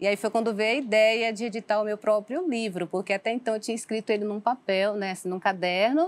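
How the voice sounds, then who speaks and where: Moderate pace and ordinary pitch variation from a woman with a fairly high voice. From Salvador, Bahia, Brazil; Bahia, Brazil. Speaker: author; guest. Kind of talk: interview testimony. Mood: personal life story, earnest. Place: studio. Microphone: lapel.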